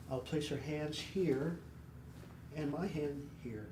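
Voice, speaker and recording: A soft-spoken man with a soothing tone, fairly high pitch and ordinary pitch variation. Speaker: chiropractor. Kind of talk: instructional demonstration. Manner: soft-spoken, soothing.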